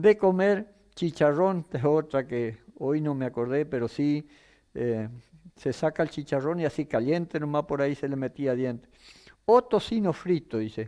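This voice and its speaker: In an Entre Ríos accent, a man speaks fairly slowly in a fairly high voice with a dark, mellow tone and lively intonation, on a very clean recording with a silent background. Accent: rural Entre Ríos Argentine. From Argentina, Entre Ríos. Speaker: rural TV program host. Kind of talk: program sign-off, reading viewer messages. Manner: folksy, hesitant fillers.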